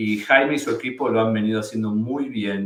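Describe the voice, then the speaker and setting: A man with an Argentine accent talks in a fairly low pitch with monotone, flat intonation. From Argentina. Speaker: immigration lawyer. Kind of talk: webinar presentation. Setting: live webinar.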